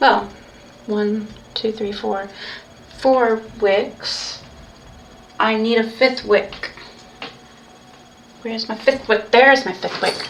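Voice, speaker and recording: With noticeable background noise behind her, a woman speaks very slowly at a fairly high pitch with monotone, flat intonation. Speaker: pagan ritual practitioner streaming. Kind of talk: livestreamed ritual walkthrough. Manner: halting, self-correcting.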